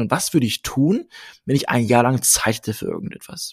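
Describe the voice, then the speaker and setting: Here is a man with an unremarkable speaking voice at a medium pitch. He talks at a fairly quick pace in a dry, close sound with no echo. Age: 30s. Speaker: marketing manager and podcaster. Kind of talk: interview.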